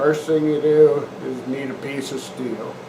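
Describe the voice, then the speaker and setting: A man's fairly slow speech with fairly even intonation, noticeable background noise and audible room echo. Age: 60s. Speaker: strength coach. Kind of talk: tutorial. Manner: casual.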